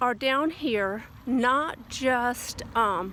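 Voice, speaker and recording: A woman's voice with a slight Southern US accent. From US South. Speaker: lifestyle vlogger. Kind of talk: casual vlog monologue. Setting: outdoors, walking in light rain. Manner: hesitant, with many fillers.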